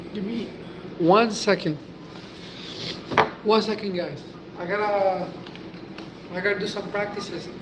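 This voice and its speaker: Noticeable background noise sits under speech at a fairly slow pace with long, frequent pauses. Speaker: livestreamer chatting with viewers. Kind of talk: casual live stream chat.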